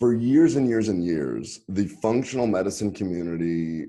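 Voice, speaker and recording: The pitch variation is ordinary in this man's voice. He keeps a moderate pace. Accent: Texas. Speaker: physician, gastroenterologist. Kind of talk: podcast interview.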